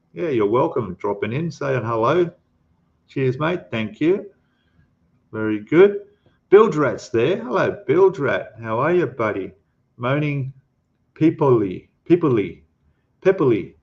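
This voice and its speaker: At a very slow pace with long, frequent pauses, a man speaks in a fairly high pitch with very wide pitch swings. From Australia. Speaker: scale model ship builder and youtuber. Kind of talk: livestream chat reading viewer comments. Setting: livestream. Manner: casual, hesitant with fillers.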